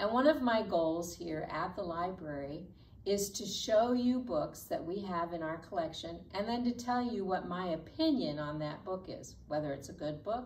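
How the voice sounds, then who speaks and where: A woman speaks with lively intonation. Light background noise can be heard. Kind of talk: children's program presentation. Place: classroom. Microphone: camera far.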